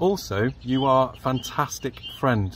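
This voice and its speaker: A somewhat breathy man speaks with lively intonation. The sound is dry with no echo, and there is light background noise. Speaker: school teacher. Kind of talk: prepared address to pupils. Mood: warm, praising. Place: garden. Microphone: phone near.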